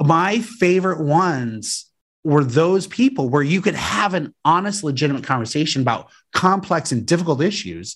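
This man has an American accent, a normal speaking voice and lively intonation. The recording is very clean, with a silent background. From Colorado, US. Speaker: political candidate for state education office. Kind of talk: casual interview.

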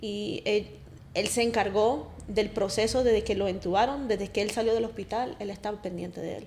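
A woman speaks at a medium pitch and a moderate pace. Her intonation is fairly even, with vocal fry. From Colombia, raised mostly in US. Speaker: wife of guest. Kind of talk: testimony.

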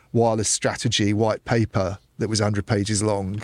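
A man talks at a fairly quick pace in a plain, everyday voice, fairly low in pitch with fairly even intonation. The recording is very clean with a silent background and has a dry, close sound with no echo. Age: middle-aged. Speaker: telecoms journalist. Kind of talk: casual chat. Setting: studio.

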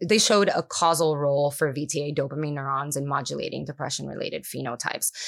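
The voice, with vocal fry, races along at a very fast pace with hardly any pauses and ordinary pitch variation in a very clean recording with a silent background. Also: woman, very deep, low pitch for a woman. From Puerto Rico. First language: Spanish. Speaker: neuroscientist. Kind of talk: interview. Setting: conference.

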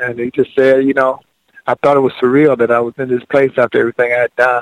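A man with an American accent at medium pitch and a very fast pace, monotone and flat in intonation, with a dry, close sound and no echo. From Georgia, US South. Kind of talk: casual radio interview chat. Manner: relaxed, folksy, storytelling.

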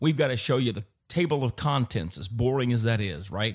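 The recording is very clean, with a silent background. A man speaks with lively intonation in a somewhat breathy voice. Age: 50s. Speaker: investment advisor. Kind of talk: casual chat.

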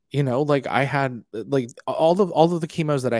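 A man with an American accent in a normal speaking voice, medium in pitch and moderate in pace, on a very clean recording with a silent background. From US. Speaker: musical theatre actor and author. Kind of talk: interview.

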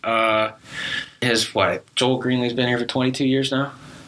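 Over noticeable background noise, a man speaks at a medium pitch and fairly quick pace. His intonation is monotone and flat. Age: young. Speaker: student sports podcast host. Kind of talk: casual chat.

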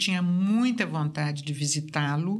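A woman talks at a fairly slow pace. There is audible echo from the room. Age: 60s. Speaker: artist. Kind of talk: casual interview.

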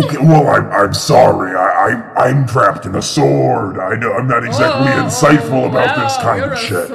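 A man speaks in a put-on character voice at a moderate pace with hardly any pauses. Loud background noise runs under him. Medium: actual play. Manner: speaks into the listener's mind.

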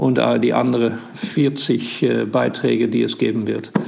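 The speaker has a Dutch accent and a fairly slow pace. There's audible room echo and noticeable background noise. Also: man. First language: Dutch (speaking German). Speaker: ambassador. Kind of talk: voice message. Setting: WhatsApp voice message. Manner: halting.

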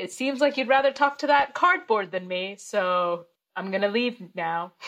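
A woman uses an ordinary speaking voice, pitched fairly high, with lively intonation at a moderate pace. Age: 30s. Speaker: comedian. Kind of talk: casual chat. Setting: video call.

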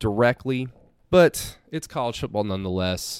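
At a moderate pace, a man with an ordinary speaking voice and an American accent talks at medium pitch on a very clean recording with a silent background. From Oklahoma. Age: 20s. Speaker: sports radio host and podcaster. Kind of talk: sports podcast monologue.

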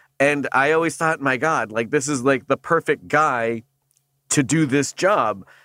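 On a very clean recording with a silent background and a dry, close sound with no echo, a man speaks fairly slowly in a bright, sharp tone with ordinary pitch variation. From Canada. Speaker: voice actor. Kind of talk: casual chat. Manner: halting.

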